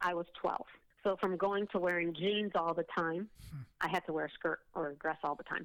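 A woman with an American accent and an ordinary speaking voice, fairly low in pitch, at a moderate pace with fairly even intonation. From US Midwest, Oak Park near Chicago. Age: 50s. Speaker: testimony guest. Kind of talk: testimony.

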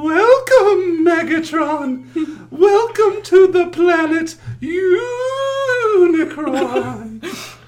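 An extremely high-pitched, put-on character voice moves at a very slow pace with hardly any pauses. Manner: ominous, haunting.

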